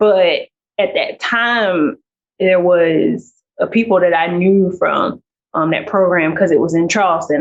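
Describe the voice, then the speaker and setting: Here is a woman with a medium-pitched voice. Her pitch varies in an ordinary way. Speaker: PhD student scientist. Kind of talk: interview. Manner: casual, conversational with many fillers.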